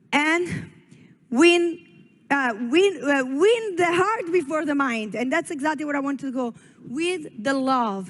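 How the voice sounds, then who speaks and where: In an Italian accent, the speaker talks at a fairly slow pace in an animated tone with lively intonation. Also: woman, high pitch for a woman. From Italy. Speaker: network marketing leader. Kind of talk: motivational speech. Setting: stage at a company expo.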